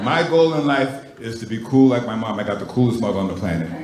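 Noticeable background noise and audible room echo surround this recording. A man talks at a fairly quick pace with ordinary pitch variation. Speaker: stand-up comedian. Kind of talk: stand-up comedy set. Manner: understated, cool. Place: stage. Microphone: handheld.

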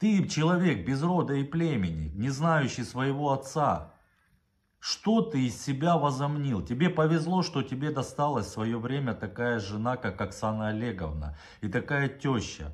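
A man talks at a fairly slow pace, his voice somewhat breathy and his pitch swinging very widely. The background is quiet. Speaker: vlogger. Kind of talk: angry video address. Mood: indignant, accusing. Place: home room. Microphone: phone near.

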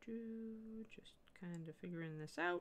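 At a very slow pace, a woman talks. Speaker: miniature painting livestream host. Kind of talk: live painting tutorial stream. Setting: livestream studio. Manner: loud. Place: home room.

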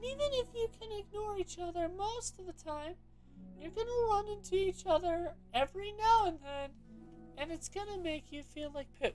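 A put-on character voice at an extremely high pitch and moderate pace, over clear music in the background. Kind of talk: reading game dialogue aloud in character. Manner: affected.

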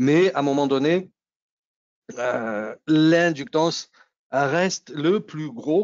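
A man with a Nice accent, over a quiet background, in a dry sound with no echo. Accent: southern French (Nice), noticeable. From Nice, southeast France. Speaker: technical presenter, engineer. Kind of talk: technical webinar presentation. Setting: video call webinar.

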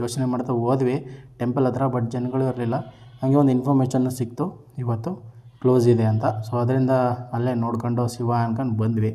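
A man's medium-pitched, monotone, flat voice with audible room echo. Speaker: vlogger. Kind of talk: vlog narration. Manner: casual.

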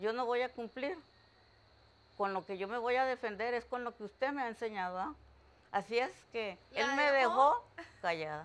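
At a moderate pace, a woman with a Costa Rican accent speaks with fairly high pitch and lively intonation, pausing long and often. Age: 80s+. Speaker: preschool teacher. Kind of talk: interview answer. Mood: warm, reminiscing. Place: home room.

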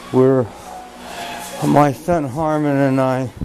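Someone speaks at a very slow pace while music plays clearly in the background. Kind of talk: casual vlog chat. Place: home room. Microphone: phone near.

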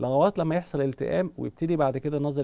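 Very fast speech in a dark, mellow tone with vocal fry. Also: man. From Egypt. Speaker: eye surgeon. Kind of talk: TV medical interview. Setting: studio. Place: studio. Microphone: lapel.

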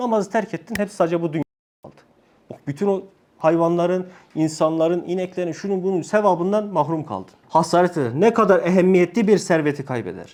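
A man with a high voice speaks at a fairly quick pace, his loudness swinging widely while his pitch varies in an ordinary way. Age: 30s. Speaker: religious study circle teacher. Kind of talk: religious lesson to a group. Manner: casual, joking.

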